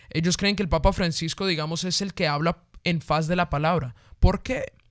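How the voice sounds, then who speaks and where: Captured in a very clean recording with a silent background, a man with a high pitch speaks in an animated tone with ordinary pitch variation. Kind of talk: casual discussion of faith topics. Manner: fast.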